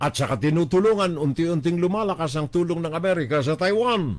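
The speaker sounds animated, with lively intonation at a fairly quick pace. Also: man. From Philippines. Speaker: web radio news commentator; political commentator. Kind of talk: political commentary monologue. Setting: live stream. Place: home room. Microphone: studio mic.

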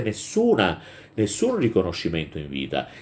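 The speaker is a man. He keeps a moderate pace while his pitch swings very widely. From Southern Italy, Calabria (Reggio Calabria); Calabria, Italy. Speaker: teacher. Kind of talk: lecture. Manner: hesitant, with frequent fillers. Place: home room. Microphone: phone near.

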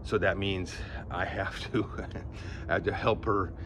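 Noticeable background noise behind a very deep, low male voice. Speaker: fitness vlogger. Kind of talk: casual vlog chat. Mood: candid, slightly wry. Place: garden. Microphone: phone near.

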